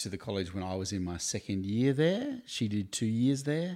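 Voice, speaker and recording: The recording is very clean and the background silent. In it, a man with an Australian accent talks at a fairly low pitch. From Tasmania, Australia (Hobart). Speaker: campus ministry staff worker. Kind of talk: interview.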